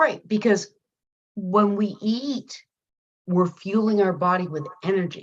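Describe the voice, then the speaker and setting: Using long, frequent pauses, a somewhat breathy woman speaks at a very slow pace with ordinary pitch variation. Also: medium pitch for a woman. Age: 60s. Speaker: guest sharing health testimony. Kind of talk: testimony. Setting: video call.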